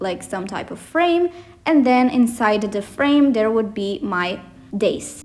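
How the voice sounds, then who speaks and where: The woman's voice is fairly high, with ordinary pitch variation, and noticeable background noise can be heard. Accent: non-native. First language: not English. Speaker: bullet journal youtuber. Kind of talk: voiceover narration of a plan-with-me video. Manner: rambling, casual.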